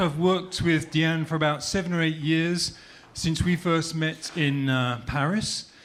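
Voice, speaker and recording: A man with a fairly high pitch speaks fairly slowly in very even loudness and fairly even intonation, with noticeable background noise behind him. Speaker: comedy writer and author. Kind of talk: on-stage introduction.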